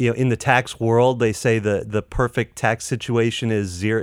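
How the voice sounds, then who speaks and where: A man with an American accent talks in a monotone, flat intonation. The recording is very clean, with a silent background and a dry, close sound with no echo. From North Carolina. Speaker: fintech marketing professional. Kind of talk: casual interview.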